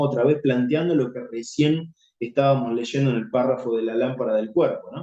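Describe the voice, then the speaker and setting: The tone is dark and mellow, with ordinary pitch variation. Delivery moves at a moderate pace. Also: man. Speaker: Bible teacher. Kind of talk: Bible study teaching.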